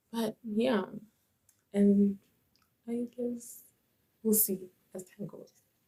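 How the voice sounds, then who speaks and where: A woman talks at a very slow pace. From South Africa. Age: 20s. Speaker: YouTuber, college student. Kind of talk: vlog introduction.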